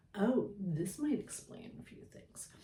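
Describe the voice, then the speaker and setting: Heard with audible room echo, a woman speaks at a moderate pace and a medium pitch. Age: 60s. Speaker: spiritual storyteller, shaman. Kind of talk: casual monologue to camera. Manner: hesitant, many fillers.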